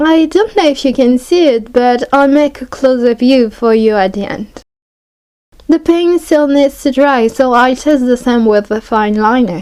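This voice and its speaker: Fairly slow, high-pitched speech from a woman with a French accent and ordinary pitch variation. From France. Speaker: art hobbyist YouTuber. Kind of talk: product review tutorial.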